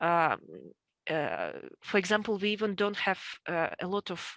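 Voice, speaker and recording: A woman in a Russian accent at a fairly slow pace, with a dry, close sound free of echo and a very clean recording over a silent background. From central Russia. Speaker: homesteader. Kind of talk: interview. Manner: halting, many fillers.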